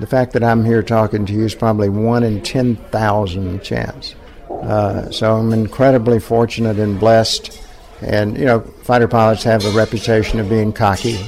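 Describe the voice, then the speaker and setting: A man with a medium-pitched voice speaks in a flat monotone over noticeable background noise. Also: moderate pace. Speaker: war veteran, former fighter pilot. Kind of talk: personal interview, storytelling.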